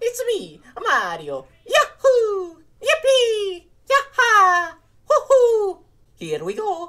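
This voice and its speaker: Putting on a character voice, a woman speaks squeakily at an extremely high pitch and a very slow pace. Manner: exuberant, squeaky cheer.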